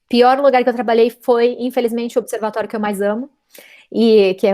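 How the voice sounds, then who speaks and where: A woman's fairly high voice with a dark, mellow tone and a fairly quick pace. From São Paulo, Brazil. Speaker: physicist. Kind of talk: interview.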